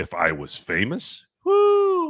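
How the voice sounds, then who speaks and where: A loud, animated man's voice on a very clean recording with a silent background. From central California, US. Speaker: sports talk show host. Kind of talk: casual sports talk livestream.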